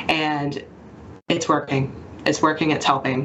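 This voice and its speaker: A woman with a very deep, low pitch, an American accent and monotone, flat intonation, over noticeable background noise. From Mississippi Gulf Coast, St. Martin. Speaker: hospital communications manager. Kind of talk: radio interview.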